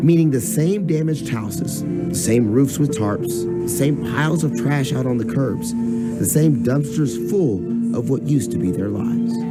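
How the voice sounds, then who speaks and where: Music plays behind a man speaking at a fairly slow pace. He leaves hardly any pauses. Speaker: TV news anchor and reporter. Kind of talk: scripted TV news read.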